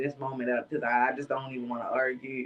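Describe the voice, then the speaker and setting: A woman speaks in a soft-spoken way. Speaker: morning show host. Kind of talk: casual live-stream chat. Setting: live stream from home. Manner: casual, gets loud when excited.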